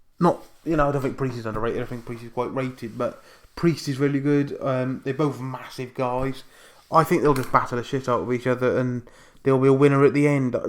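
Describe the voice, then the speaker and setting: With an English accent, the words come out fairly quickly. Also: man, medium pitch for a man. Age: 20s. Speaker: wrestling YouTuber. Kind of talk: casual vlog. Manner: fast; animated.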